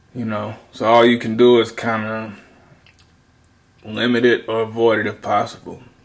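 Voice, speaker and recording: Speaking with an American accent, a man at medium pitch keeps a moderate pace and monotone, flat intonation, with long, frequent pauses. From US South. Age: 30s. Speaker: video commentator. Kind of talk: casual monologue commentary. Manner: rambling, casual.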